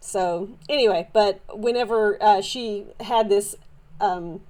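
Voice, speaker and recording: Her medium-pitched voice has a dark, mellow tone, and this woman uses ordinary pitch variation. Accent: Southern US. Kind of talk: casual show-and-tell haul video. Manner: animated; halting with many fillers.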